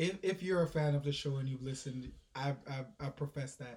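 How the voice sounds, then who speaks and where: This man's voice is somewhat breathy and fairly high in pitch. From Jamaica. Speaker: podcast co-host. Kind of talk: casual chat.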